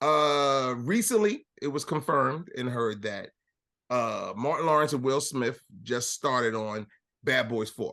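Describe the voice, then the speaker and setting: A man speaks loudly at a fairly slow pace. His fairly high voice has a bright, sharp tone and lively intonation. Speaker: podcast host. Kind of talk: casual chat.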